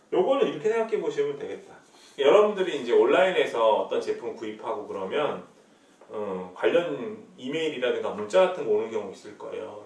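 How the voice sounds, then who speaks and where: Noticeable background noise and audible room echo surround speech delivered fairly quickly. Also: man. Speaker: university lecturer. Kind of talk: recorded lecture. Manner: hesitant, many filler sounds.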